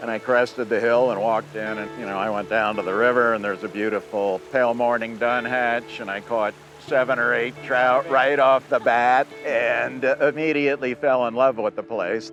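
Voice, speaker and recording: Over noticeable background noise, a man at medium pitch speaks at a moderate pace with hardly any pauses and ordinary pitch variation. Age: 60s. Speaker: conservation advocate. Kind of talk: interview testimony.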